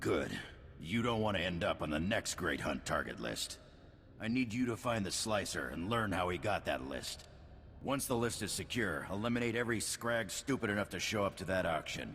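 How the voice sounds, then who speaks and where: Over clear background noise, a man puts on a raspy character voice at a fairly low pitch. He keeps a moderate pace. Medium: video game. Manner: stern, authoritative.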